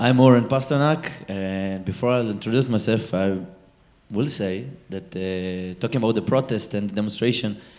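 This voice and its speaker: A man's fairly low voice in an Israeli accent, at a moderate pace with ordinary pitch variation. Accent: Israeli, non-native English. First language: Hebrew. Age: 20s. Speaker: social activist. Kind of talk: panel discussion. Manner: halting, many fillers.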